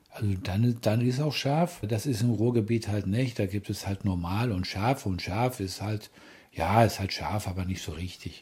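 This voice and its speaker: This man's fairly low voice has a dark, mellow tone, somewhat breathy, with ordinary pitch variation at a fairly slow pace. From Ruhr area, Germany. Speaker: partner of the host. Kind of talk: casual chat. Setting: hotel room.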